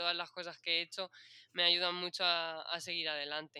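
A woman's fairly low-pitched voice. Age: 20s. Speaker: nurse. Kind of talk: interview. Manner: halting.

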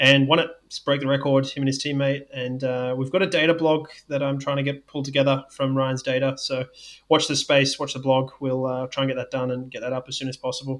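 The speech moves at a fairly quick pace with hardly any pauses, in a monotone, flat intonation. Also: man, fairly high pitch for a man. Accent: Australian. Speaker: sports scientist and podcast co-host. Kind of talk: casual podcast chat.

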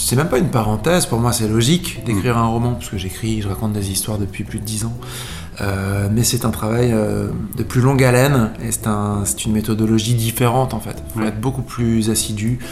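A medium-pitched male voice at a fairly quick pace, with ordinary pitch variation, audible room echo, and noticeable background noise. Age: 30s. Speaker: singer-songwriter and author. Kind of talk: radio interview.

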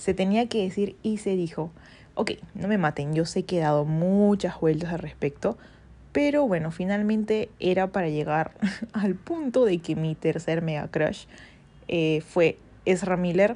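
The tone is dark and mellow, delivered at a fairly slow pace with ordinary pitch variation. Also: woman, medium pitch for a woman. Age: 20s. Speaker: podcast host. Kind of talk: casual solo monologue.

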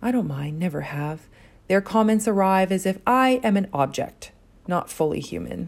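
With lively intonation, this woman has an unremarkable speaking voice, pitched in the middle and delivered at a moderate pace. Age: 30s. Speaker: poet. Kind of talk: spoken word poetry.

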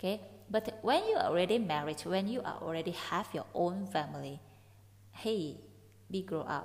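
A woman talks at a moderate pace and a medium pitch. She leaves long, frequent pauses. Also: ordinary pitch variation. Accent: Indonesian. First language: Indonesian. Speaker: podcast host. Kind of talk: solo podcast explaining song lyrics. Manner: casual, chatty.

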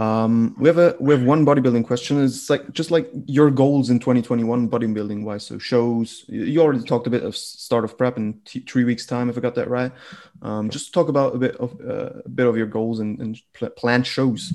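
In a German accent, a man speaks at a moderate pace and medium pitch, his dark, mellow tone carrying fairly even intonation. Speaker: podcast host. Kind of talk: interview. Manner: halting.

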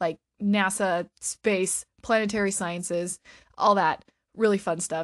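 A woman talks at a fairly slow pace with a medium pitch. The sound is dry and close with no echo, over a quiet background. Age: 30s. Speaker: podcast host, book reviewer. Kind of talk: casual solo podcast talk. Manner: animated.

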